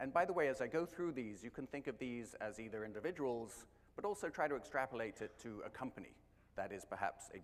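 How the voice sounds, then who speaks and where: A man talks at a very fast pace with an English accent. His pitch swings very widely. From England. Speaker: marketing executive. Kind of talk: conference talk.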